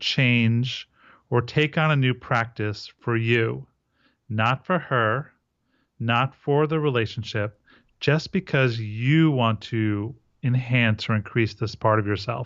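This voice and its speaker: This man speaks at a very slow pace in a medium-pitched voice with ordinary pitch variation. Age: 40s. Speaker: men's relationship coach. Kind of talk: interview.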